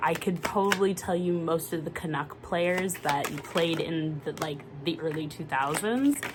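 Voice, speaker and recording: A woman with a North American accent at a fairly slow pace, over noticeable background noise. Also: hardly any pauses. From Canada. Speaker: tarot reader. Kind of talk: casual monologue.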